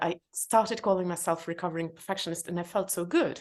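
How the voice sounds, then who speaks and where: A woman with a non-native accent talks very fast against a quiet background. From former Soviet Union. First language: not English (third language). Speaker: entrepreneur and author. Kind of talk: podcast interview. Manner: hesitant, many fillers.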